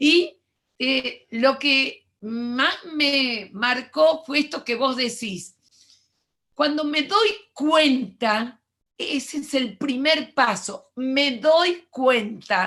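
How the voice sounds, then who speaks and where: Speaking very slowly, a woman uses a high pitch, a bright, sharp tone and lively intonation. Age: 70s. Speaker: education lecturer. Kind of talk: lecture.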